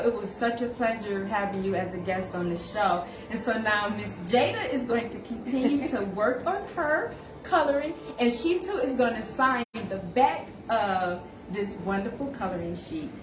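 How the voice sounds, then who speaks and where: A woman speaks at a fairly high pitch. Audible room echo and noticeable background noise come through. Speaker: show host, contest organizer. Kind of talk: voicemail message; casual live-stream chat. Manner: animated.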